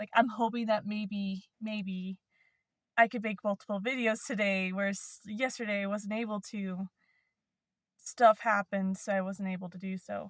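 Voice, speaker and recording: A woman's somewhat breathy voice at medium pitch, with big swings in loudness. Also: moderate pace, dry, close sound with no echo. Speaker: vlogger. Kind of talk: casual vlog monologue. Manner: halting, many fillers and restarts.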